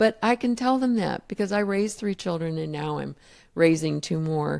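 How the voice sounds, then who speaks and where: A woman speaks at a moderate pace in a fairly low pitch, with an unremarkable speaking voice. The recording is very clean, with a silent background. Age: 60s. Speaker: grandparent raising grandchildren, podcast host. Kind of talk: interview conversation.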